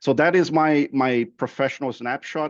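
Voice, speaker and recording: Against a quiet background, a man with a Brazilian Portuguese accent speaks with fairly even intonation. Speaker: process improvement manager. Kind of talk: webinar interview. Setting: online webinar. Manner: halting, many fillers and repeats.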